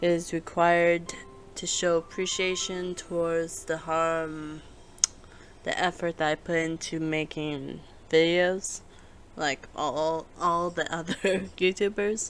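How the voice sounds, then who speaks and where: The speaker talks quietly at a very slow pace. Long pauses come often. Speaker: gaming youtuber. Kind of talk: let's play commentary. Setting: home recording at night. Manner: halting.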